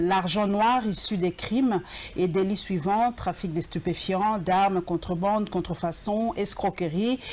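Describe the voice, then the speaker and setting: A woman at a very slow pace, her loudness very even. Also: medium pitch for a woman, ordinary pitch variation. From DR Congo. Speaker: TV show host. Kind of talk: TV interview; reading guest's bio aloud.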